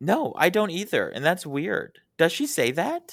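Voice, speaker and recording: In an unremarkable speaking voice, the speaker uses lively intonation at a fairly slow pace. The recording is very clean, with a silent background. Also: man. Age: 20s. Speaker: podcast guest. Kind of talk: casual chat.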